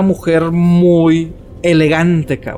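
Someone speaks with a Mexican accent over noticeable background noise. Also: man. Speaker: podcast co-host. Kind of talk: casual chat. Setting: cemetery.

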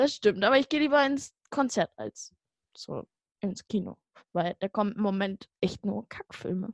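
An unremarkable speaking voice moves at a fairly slow pace with lively intonation. The sound is dry and close, with no echo. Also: woman, medium pitch for a woman. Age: young. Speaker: podcast co-host. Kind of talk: casual chat.

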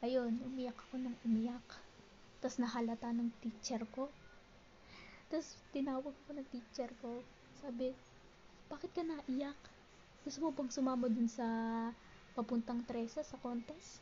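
A woman talks at a fairly slow pace in a high pitch, with fairly even intonation. Her pauses are long and frequent. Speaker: podcast host. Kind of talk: personal storytelling.

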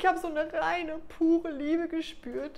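A woman speaks at an extremely high pitch. Her pace is fairly slow. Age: 30s. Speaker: love and relationship coach. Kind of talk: personal video monologue.

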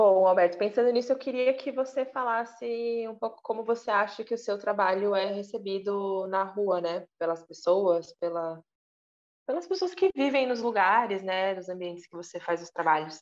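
Her pitch is medium for a woman, with ordinary variation. She speaks at a moderate pace. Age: 30s. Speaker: visual artist and interviewer. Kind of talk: casual interview chat. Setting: video call from home dining room.

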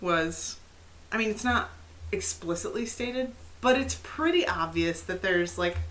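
Noticeable background noise and audible room echo around a woman talking at a moderate pace. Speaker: podcast co-host. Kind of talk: casual chat. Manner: animated.

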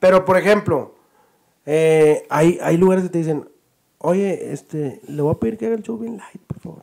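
A man with an unremarkable speaking voice, a fairly high pitch, ordinary pitch variation and a moderate pace. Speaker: podcast host and comedian. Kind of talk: casual chat.

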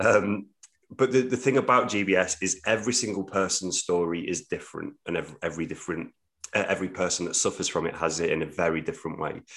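A man with a very deep, low pitch talks at a very fast pace with ordinary pitch variation. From English Midlands. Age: 30s. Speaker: theatre producer. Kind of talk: podcast interview.

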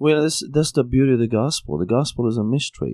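With a Syrian accent, a man speaks in a dark, mellow tone with ordinary pitch variation. The sound is dry and close with no echo, over a quiet background. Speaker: pastor. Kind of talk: podcast interview.

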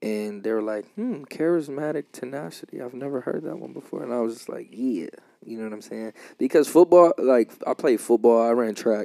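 A man with an American accent and a dark, mellow tone speaks at a medium pitch and a fairly quick pace, with lively intonation, big swings in loudness, and a dry, close sound with no echo. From Los Angeles. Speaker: podcast host. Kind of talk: casual chat.

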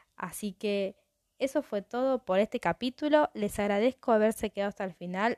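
Her voice is medium in pitch with a dark, mellow tone and ordinary pitch variation, at a fairly slow pace. The recording is very clean, with a silent background and a dry, close sound with no echo. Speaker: true crime podcast host. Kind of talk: casual storytelling monologue.

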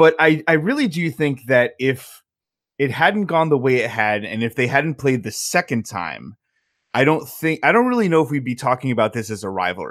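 A man's normal speaking voice with an American accent, fairly high in pitch, lively in intonation and moderate in pace, in a very clean recording with a silent background. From Southern Connecticut, US. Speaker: hockey blogger. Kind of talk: casual chat.

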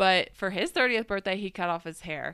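A woman speaks with an American accent, her tone bright and sharp with vocal fry. The recording is very clean, with a silent background. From Minnesota. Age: late 20s. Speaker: podcast co-host. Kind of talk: casual chat. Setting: hotel room recording.

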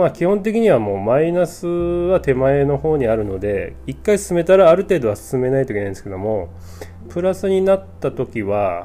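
There is noticeable background noise as a man of medium pitch talks at a moderate pace with very wide pitch swings. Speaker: podcast host, board game reviewer. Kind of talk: casual solo talk. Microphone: new cheap microphone.

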